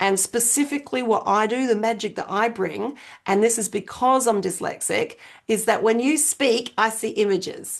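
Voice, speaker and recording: In an Australian accent, a woman speaks at a moderate pace and a fairly high pitch, her pitch varying in an ordinary way against a quiet background. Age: 50s. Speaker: business strategist. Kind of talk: interview conversation. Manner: animated.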